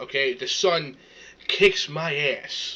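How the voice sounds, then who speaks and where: An animated man in a New York accent, with ordinary pitch variation and noticeable background noise. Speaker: reaction streamer. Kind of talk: casual reaction rant. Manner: animated, stammering.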